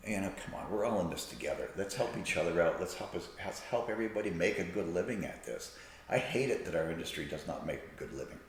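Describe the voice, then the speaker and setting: Talking at a very fast pace with hardly any pauses, a man is heard over noticeable background noise and audible room echo. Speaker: salon owner and hairstylist. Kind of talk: podcast interview. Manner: animated.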